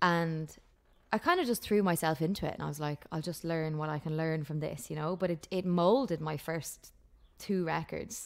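The speaker has an Irish accent and a moderate pace. Pitch varies in an ordinary way against a quiet background. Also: woman, fairly low pitch for a woman. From Ireland. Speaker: country singer-songwriter. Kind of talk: casual interview chat. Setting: video call. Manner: laughs often, chatty.

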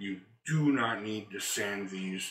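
Audible room echo surrounds a man whose fairly low pitch shows ordinary variation. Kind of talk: tutorial. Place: garage.

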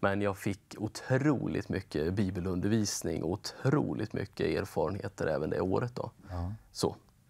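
Against a quiet background, a man talks at a moderate pace in a fairly low voice, with ordinary pitch variation and hardly any pauses. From Östergötland, Sweden (Linköping); Östergötland, Sweden. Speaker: bible school principal; talk show guest. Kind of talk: interview. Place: studio. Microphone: lapel.

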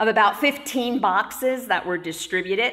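A woman reads at a fairly slow pace with ordinary pitch variation against a quiet background. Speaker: pastor. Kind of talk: church announcements. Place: church. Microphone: camera far.

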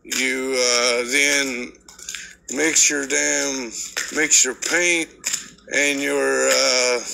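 The man talks at a very slow pace. He keeps his intonation fairly even. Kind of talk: casual vlog chat explaining mixing coatings. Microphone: phone near.

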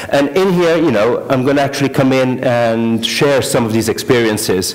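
The man keeps a moderate pace, and his pitch varies in an ordinary way. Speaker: conference speaker. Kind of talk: conference talk. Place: hall.

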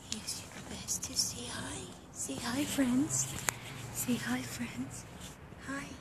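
Whispering, a woman speaks at a very slow pace with long, frequent pauses. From Bosnia. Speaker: stray dog rescuer. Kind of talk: casual talk to camera. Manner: quiet, hushed; affectionate, baby talk to dogs. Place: street. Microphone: phone near.

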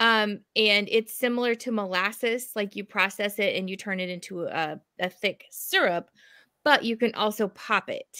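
Her tone bright and sharp, a woman speaks at a fairly high pitch and a moderate pace with ordinary pitch variation against a quiet background. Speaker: educator and co-host. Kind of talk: casual chat. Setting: video call. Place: home room.

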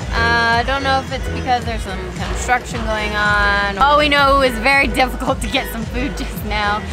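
Against clear music in the background, a woman talks at a moderate pace in a dry sound with no echo. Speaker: travel vlogger. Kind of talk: casual vlog chat. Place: street. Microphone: phone near.

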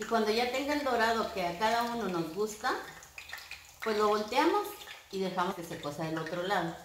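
A woman with a fairly high pitch speaks at a moderate pace with long, frequent pauses, amid light background noise and audible room echo. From northern Mexico, Coahuila. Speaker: home cooking youtuber. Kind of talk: cooking tutorial. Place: kitchen. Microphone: camera far.

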